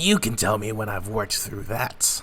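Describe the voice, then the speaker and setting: Over light background noise, a man does a raspy put-on character voice, fairly low in pitch, at a moderate pace with fairly even intonation. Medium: read story. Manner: rough, commanding.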